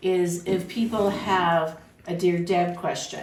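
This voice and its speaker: A woman speaks at a fairly low pitch. Noticeable background noise runs under her voice. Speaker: psychic medium and spiritual teacher. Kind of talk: casual podcast banter.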